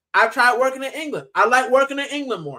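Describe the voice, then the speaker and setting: The speaker sounds animated and talks at a very fast pace in an American accent. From US, Miami (Puerto Rican family). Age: 30s. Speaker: football fan channel host. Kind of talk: casual livestream chat. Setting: livestream.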